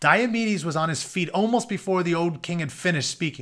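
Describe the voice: On a very clean recording with a silent background, a man talks at a fairly quick pace, high-pitched and fairly bright in tone, with lively intonation.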